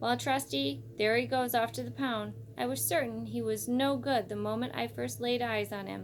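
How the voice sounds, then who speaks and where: A put-on character voice runs at a moderate pace with hardly any pauses. Clear background noise sits behind it. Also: woman. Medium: read story.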